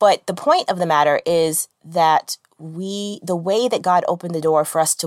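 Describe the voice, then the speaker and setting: A woman speaks in an unremarkable speaking voice, fairly low in pitch with ordinary pitch variation. The recording is very clean and dry, close with no echo, over a silent background. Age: 30s. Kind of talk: faith-based devotional monologue. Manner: conversational with frequent fillers.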